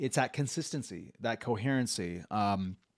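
At a moderate pace and medium pitch, a man speaks against a quiet background. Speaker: podcast host and executive coach; podcast host, executive coach. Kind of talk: casual interview. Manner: halting. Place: home room. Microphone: studio mic.

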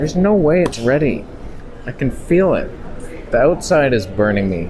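Faint background noise sits behind a man speaking at a moderate pace in a medium-pitched, slightly mellow voice with big pitch swings.

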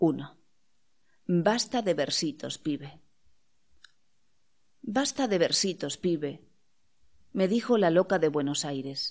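On a very clean recording with a silent background, a woman with a fairly low pitch talks very slowly, with very wide pitch swings and long, frequent pauses. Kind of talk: audiobook reading of poetry and prose.

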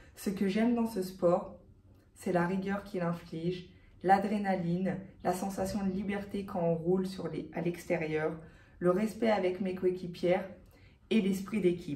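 A woman's dark, mellow, somewhat breathy voice at a fairly slow pace, with fairly even intonation and audible room echo. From France, Haute-Savoie; France. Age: 20s. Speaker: professional cyclist. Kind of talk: sponsorship pitch. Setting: hospital. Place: office. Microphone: phone near.

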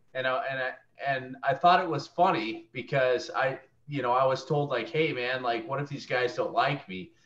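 An unremarkable speaking voice, a man's, fairly high-pitched with ordinary pitch variation at a moderate pace. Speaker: student. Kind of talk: casual chat. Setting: video call.

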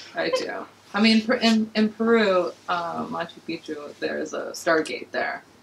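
A woman with an American accent at a fairly slow pace, over light background noise. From Los Angeles. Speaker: podcast guest. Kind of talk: casual chat. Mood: relaxed, joking. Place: studio.

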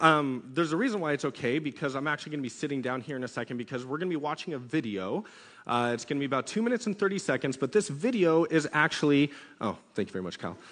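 Very rapid speech from a man, with a quiet background. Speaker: youth pastor. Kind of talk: sermon. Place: church. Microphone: headset.

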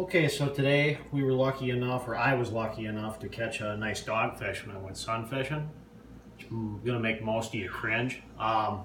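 A man's voice rises and falls in ordinary measure, with light background noise and audible echo from the room. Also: moderate pace. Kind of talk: casual cooking tutorial. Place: kitchen. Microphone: phone near.

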